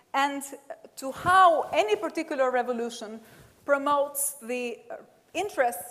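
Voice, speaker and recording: Here a woman speaks with an Albanian accent. Her voice is high-pitched, with ordinary pitch variation. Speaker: professor. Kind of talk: lecture.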